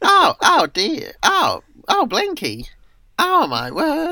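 Putting on a squeaky character voice, a man speaks at an extremely high pitch and a very slow pace. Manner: fussy.

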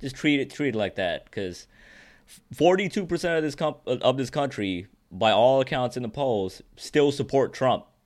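A man's ordinary speaking voice at medium pitch, with lively intonation, a moderate pace and a very clean recording with a silent background. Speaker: podcast co-host. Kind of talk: casual chat; angry rant. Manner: casual, bro-ish.

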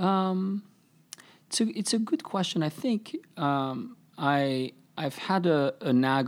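A man speaks with a French accent and lively intonation. The recording is very clean, with a silent background. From France, Paris. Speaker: tech startup CEO. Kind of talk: interview.

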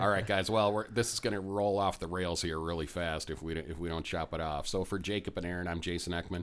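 A man with an American accent and a very deep, low pitch, at a fairly quick pace with hardly any pauses and fairly even intonation, in a very clean recording with a silent background. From Minnesota. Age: 40s. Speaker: real estate investor and podcast host. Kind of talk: casual chat.

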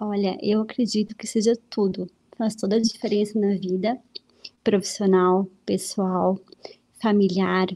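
Speaking fairly slowly at a medium pitch, a woman keeps a monotone, flat intonation in a dark, mellow tone. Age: 30s. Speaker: host's wife. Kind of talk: casual chat. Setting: live stream.

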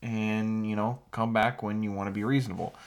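An unremarkable speaking voice moves at a moderate pace. The recording is very clean, with a silent background. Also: man. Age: 20s. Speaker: podcast co-host. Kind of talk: casual chat.

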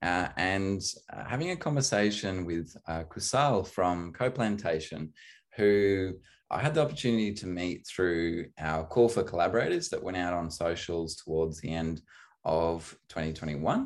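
In an Australian accent, a man with a very deep, low pitch talks at a fairly slow pace against a quiet background. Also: ordinary pitch variation. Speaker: podcast host. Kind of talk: casual interview conversation.

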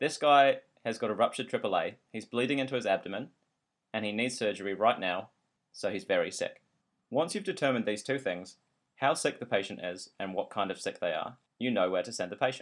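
A man with a New Zealand accent, medium pitch, lively intonation and a fairly quick pace, on a very clean recording with a silent background. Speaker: podcast host, trainee doctor. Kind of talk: educational podcast narration.

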